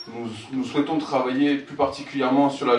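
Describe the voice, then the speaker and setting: A man with a medium pitch and flat, monotone intonation at a fairly quick pace, amid audible room echo and noticeable background noise. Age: 30s. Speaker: local election candidate, house painter. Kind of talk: campaign presentation. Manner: halting, many fillers.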